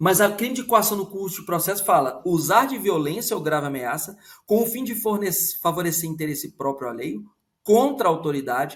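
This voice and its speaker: Pitch swings very widely as a man speaks. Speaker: law professor. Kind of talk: lecture. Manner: fast.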